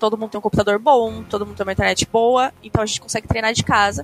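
Music in the background behind a woman's fairly high voice, with a dry, close sound and no echo. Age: 20s. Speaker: professional esports player. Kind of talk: casual chat.

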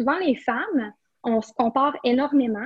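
Pitch variation is ordinary. The delivery goes fairly slowly. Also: woman. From Quebec, Rimouski area. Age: 20s. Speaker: entrepreneur. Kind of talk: interview. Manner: halting, many repetitions and fillers.

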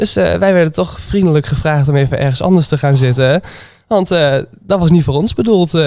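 With a plain, everyday voice, a man talks fairly quickly at a fairly high pitch, his intonation lively and his loudness very even. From Twente, eastern Netherlands. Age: 20s. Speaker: restaurant manager. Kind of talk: casual interview.

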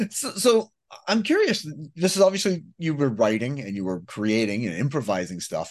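Moderately paced, a man's fairly high voice runs through very wide pitch swings. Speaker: radio host. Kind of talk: casual interview chat.

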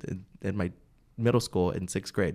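A man with an American accent and a fairly low voice at a moderate pace, on a very clean recording with a silent background. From Bakersfield, California (US). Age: 20s. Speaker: county party chairman. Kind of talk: casual interview. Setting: studio.

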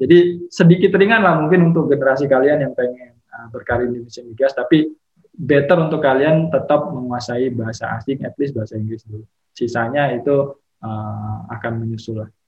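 An unremarkable speaking voice from a man, fairly high in pitch, fairly quick, with ordinary pitch variation and big swings in loudness. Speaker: petroleum geologist. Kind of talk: casual interview chat.

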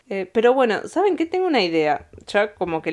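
In a very clean recording with a silent background, a woman speaks in an animated tone. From Argentina (Bariloche). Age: 20s. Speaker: podcaster. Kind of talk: casual monologue storytelling.

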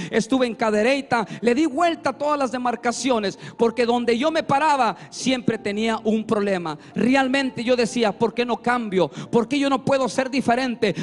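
A man with an extremely high voice speaks at a fairly slow pace with ordinary pitch variation over noticeable background noise. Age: 40s. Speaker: preacher giving testimony. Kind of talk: testimony; sermon. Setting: church.

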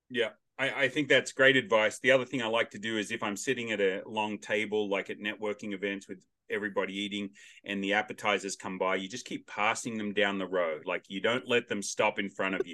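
Fairly quick and fairly low in pitch, a man with an Australian accent speaks in a bright, sharp tone. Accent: Australian, noticeable. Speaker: podcast host. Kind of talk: casual interview chat. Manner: loud, animated.

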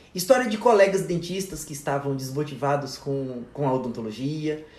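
A man at a moderate pace with ordinary pitch variation, amid audible room echo. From Federal District of Brazil (Ceilândia/Taguatinga). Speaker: dentist and course instructor. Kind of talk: casual chat. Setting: in person, drinking wine. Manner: talkative.

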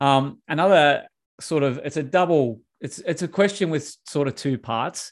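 Ordinary pitch variation colors the speech of a man with an Australian accent. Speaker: podcast host, coach. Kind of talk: podcast interview. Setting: video call. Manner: casual, filler-heavy.

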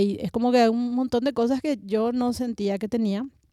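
At a fairly quick pace, a woman speaks in a dark, mellow tone with ordinary pitch variation. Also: very clean recording, silent background. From Paraguay, Asunción. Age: 30s. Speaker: singer-songwriter. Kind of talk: roundtable conversation. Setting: cultural centre recording.

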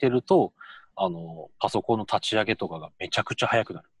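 A man's dry, close sound, free of echo, comes at a moderate pace over a quiet background. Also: big swings in loudness. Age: 30s. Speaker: education professional, co-host. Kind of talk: casual chat.

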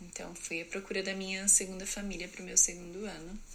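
A woman speaks with a bright, sharp tone. Room echo is audible in the recording. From Brazil, interior of São Paulo state. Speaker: au pair and student. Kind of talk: personal story monologue.

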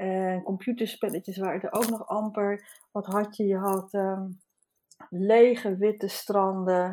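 At a very slow pace, a woman speaks with a medium pitch and a dark, mellow tone. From Netherlands, Haarlem. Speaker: artist and teacher. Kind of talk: casual chat. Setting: remote recording from home.

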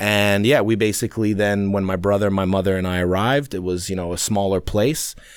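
With a New York accent, a man talks at a fairly quick pace, his fairly low voice keeping a fairly even intonation. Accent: New York American. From New York City. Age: 30s. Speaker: expat guest living in Sweden. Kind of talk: casual chat.

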